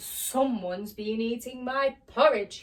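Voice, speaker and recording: A woman bellows in a put-on character voice, high-pitched and at a fairly slow pace. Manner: booming, bellowing.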